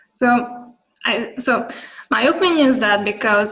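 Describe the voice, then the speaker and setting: Audible room echo surrounds a woman speaking with a Hungarian accent and ordinary pitch variation. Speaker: data visualization expert. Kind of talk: conference presentation and Q&A. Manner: halting.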